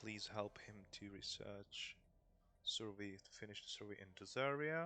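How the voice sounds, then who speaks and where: The speech is very slow, with a non-native accent and ordinary pitch variation. Music plays in the background. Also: man. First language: not English. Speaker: gaming YouTuber. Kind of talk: gameplay commentary. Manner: casual, hesitant.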